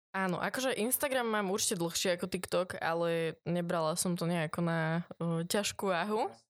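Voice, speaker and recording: An unremarkable speaking voice from a woman, fairly low in pitch with ordinary variation, comes at a moderate pace with hardly any pauses and very even loudness on a very clean recording with a silent background. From Slovakia, Trnava (born in eastern Slovakia, moved at 4-5). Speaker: tattoo artist and influencer. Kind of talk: casual interview.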